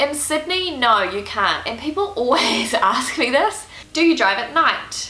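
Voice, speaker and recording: Speaking in a New Zealand accent, a woman uses a raised, projected voice with very wide pitch swings at a fairly slow pace. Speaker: Uber driver. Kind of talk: casual Q&A talk to camera.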